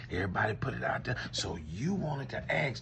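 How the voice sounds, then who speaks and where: A man speaks with an American accent over light background noise. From Louisiana. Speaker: commentator. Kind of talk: comedic one-sided call skit. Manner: animated. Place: home room. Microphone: phone near.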